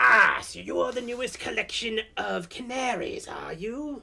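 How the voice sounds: A put-on character voice at a fairly slow pace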